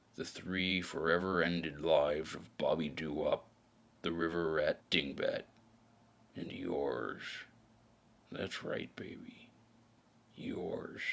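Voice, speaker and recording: In a put-on character voice, a man speaks with a very deep, low pitch and a weary tone, at a fairly slow pace with long, frequent pauses. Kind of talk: noir audio drama narration. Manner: brooding, world-weary.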